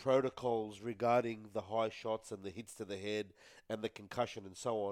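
On a very clean recording with a silent background, a man with an Australian accent speaks at a moderate pace in a medium pitch, with fairly even intonation. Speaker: rugby league podcast panelist. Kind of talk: casual sports chat. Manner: loud, shouty.

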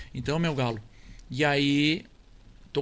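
Vocal fry marks this man's voice as he speaks at a fairly slow pace. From Rio Grande do Sul, Brazil (near Tupanciretã). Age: 70s. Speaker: accordion player and record label founder. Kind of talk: casual interview.

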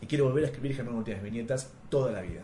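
At a very fast pace, a man talks at a medium pitch, with audible room echo around him. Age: 30s. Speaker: comics scriptwriter. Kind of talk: interview.

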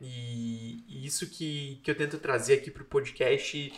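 Somewhat breathy man's voice, moderate pace, ordinary pitch variation. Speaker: podcast host. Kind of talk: interview, casual and polite. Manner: warm, friendly, chatty.

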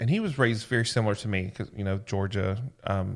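On a very clean recording with a silent background, a man with a Southern US accent speaks at a moderate pace with ordinary pitch variation. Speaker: podcast co-host. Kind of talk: casual chat.

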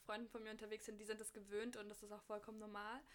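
A woman's fairly high-pitched voice. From Berlin. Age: 20s. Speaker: fashion student and blogger. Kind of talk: casual chat.

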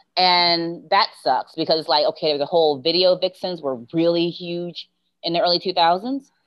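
A woman with an American accent, an unremarkable speaking voice at a fairly low pitch, moderate pace and ordinary pitch variation. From Baltimore, US. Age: 40s. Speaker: podcast guest, former music TV employee. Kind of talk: casual chat.

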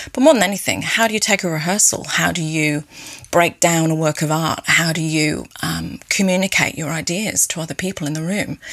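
With noticeable background noise, a woman speaks at a moderate pace in a very deep, low pitch with ordinary pitch variation. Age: 40s. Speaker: cellist and music teacher. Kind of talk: interview. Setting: video call.

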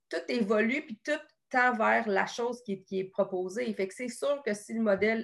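Her pitch shifts in an ordinary way. The woman speaks at a moderate pace. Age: 30s. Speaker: nutritionist. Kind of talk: casual interview.

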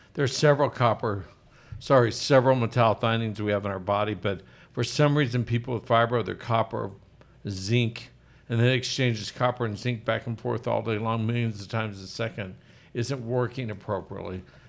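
A man with an American accent, an unremarkable speaking voice, medium pitch and fairly even intonation. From Oklahoma. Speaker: physician and podcast host. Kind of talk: casual health talk show. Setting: studio. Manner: jokey, laughs often.

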